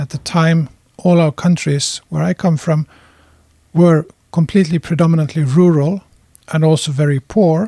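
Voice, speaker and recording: A man in a Swedish accent, fairly high-pitched with a dark, mellow tone and fairly even intonation, at a moderate pace with long, frequent pauses, in a dry, close sound with no echo. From Finland. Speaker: adult educator. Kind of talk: lecture.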